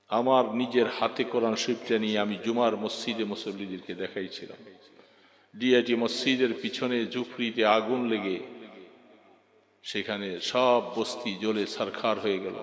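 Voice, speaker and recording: His voice at a medium pitch, a man talks in a monotone, flat intonation. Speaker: Islamic preacher. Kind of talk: religious sermon.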